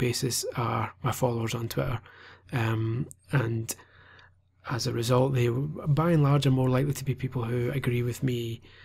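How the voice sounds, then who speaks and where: Speaking in a Scottish accent, a man sounds somewhat breathy. His pace is moderate and his intonation fairly even. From Scotland. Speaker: gaming journalist. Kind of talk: vlog monologue. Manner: hesitant, many fillers.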